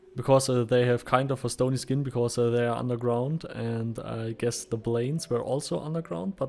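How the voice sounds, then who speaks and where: A man at medium pitch with a German accent, a moderate pace, and fairly even intonation. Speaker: gaming YouTuber. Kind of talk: game tutorial. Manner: halting, many fillers.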